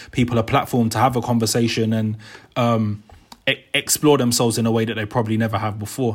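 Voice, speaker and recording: A man speaks in a South London accent. His pitch is medium, on a very clean recording with a silent background. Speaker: youth worker and perpetrator program facilitator. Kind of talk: casual chat.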